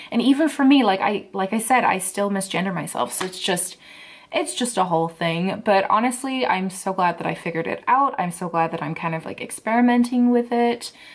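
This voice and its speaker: A woman talks in a relaxed tone at a fairly quick pace with a medium pitch. Her intonation is lively, and noticeable background noise is present. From England. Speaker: book blogger, booktuber. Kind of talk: casual talk to camera. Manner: chatty, relaxed.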